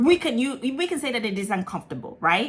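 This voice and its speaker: Lively intonation marks this woman's speech in an American accent. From Ghana, raised partly in Italy and London. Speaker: lifestyle vlogger. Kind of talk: casual vlog talk. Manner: chatty, many fillers.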